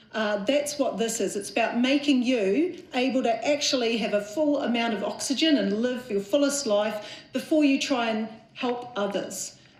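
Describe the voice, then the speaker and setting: A woman's high-pitched voice at a moderate pace, with audible room echo and noticeable background noise. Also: ordinary pitch variation. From New Zealand. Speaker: mental health charity chief executive. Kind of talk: conference talk. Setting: conference stage with audience.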